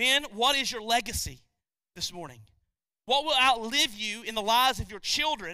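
At a moderate pace, a man projects a raised voice at an extremely high pitch in a bright, sharp tone, with ordinary pitch variation and big swings in loudness. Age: 40s. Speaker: pastor. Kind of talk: sermon.

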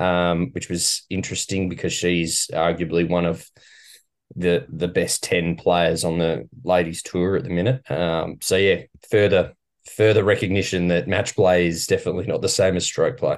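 With an Australian accent, a man talks at a very deep, low pitch and a moderate pace. His pitch variation is ordinary, and the background is quiet. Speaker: golf podcast co-host. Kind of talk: casual chat.

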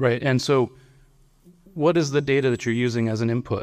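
Pitch rises and falls in an ordinary way. Behind the voice is a silent background on a very clean recording. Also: man. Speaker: technology executive. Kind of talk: conference panel talk. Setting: stage with audience. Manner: halting, repeats words.

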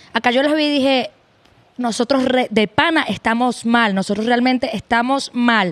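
A high-pitched woman with a Venezuelan accent, at a moderate pace with ordinary pitch variation and very even loudness, in a dry, close sound with no echo. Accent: Venezuelan Spanish, retained. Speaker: guest. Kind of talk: casual chat.

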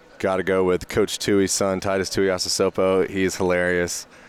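Speaking with an American accent, a man uses a very deep, low pitch and monotone, flat intonation at a moderate pace. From Georgia, US. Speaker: college football player. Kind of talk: interview. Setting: media day event at a stadium.

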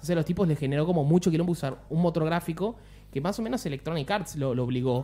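A man with a Rioplatense accent talks very fast in a fairly high voice with lively intonation. Noticeable background noise is present. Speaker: podcast host. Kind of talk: casual chat.

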